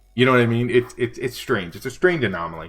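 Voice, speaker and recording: A man's relaxed, medium-pitched voice with an American accent at a fairly quick pace, over faint music in the background. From US Northeast, Buffalo New York; New York. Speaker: livestreaming artist and tutor; tutor. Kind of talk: casual livestream chat. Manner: relaxed, chatty.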